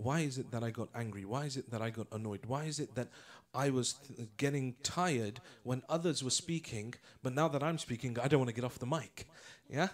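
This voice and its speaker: A man with a British accent speaks at a fairly quick clip, his medium pitch moving with ordinary variation. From England. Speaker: Islamic lecturer. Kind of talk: religious lecture.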